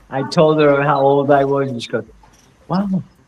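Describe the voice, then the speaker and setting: Noticeable background noise sits behind a man speaking at a fairly slow pace. His pitch is fairly high. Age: 60s. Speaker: comic creator. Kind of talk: casual chat.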